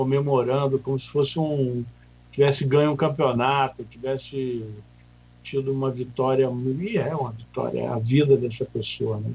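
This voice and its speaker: A somewhat breathy man's voice at medium pitch and a fairly slow pace. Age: 60s. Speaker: hospital association president. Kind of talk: radio interview.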